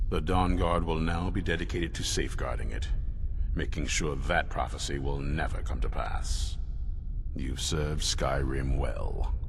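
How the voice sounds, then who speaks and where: A man speaks at a moderate pace in a put-on character voice, with loud background noise behind him. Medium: machinima. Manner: earnest, steady.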